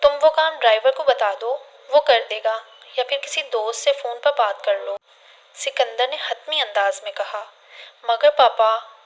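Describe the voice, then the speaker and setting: A woman speaks in a high voice with ordinary pitch variation. Her loudness swings widely over noticeable background noise. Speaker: voice over artist. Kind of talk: audiobook novel reading.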